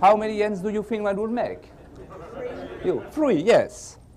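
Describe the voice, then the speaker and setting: Fairly slow speech from a man, amid audible room echo and noticeable background noise. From France. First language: French. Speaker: magician. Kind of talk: magic performance patter.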